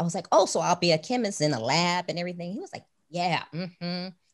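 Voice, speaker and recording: In a normal speaking voice with an American accent, the speaker moves at a fairly quick pace against a quiet background. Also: woman. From Chicago. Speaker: author and motivational speaker. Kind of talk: interview.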